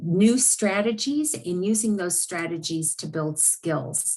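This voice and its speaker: Against a quiet background, a woman speaks at a fairly slow pace. Her voice is somewhat breathy, and her intonation is lively. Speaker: university learning specialist. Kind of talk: informational presentation.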